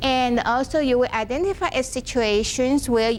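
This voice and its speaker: Music in the background behind a woman's high-pitched voice, at a moderate pace with ordinary pitch variation. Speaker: workshop presenter, education professor. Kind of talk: lecture. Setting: classroom with live audience. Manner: halting.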